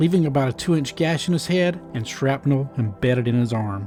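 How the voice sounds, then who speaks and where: With music in the background, a man speaks at a fairly quick pace in a fairly high voice. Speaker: YouTube host. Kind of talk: documentary voice-over narration.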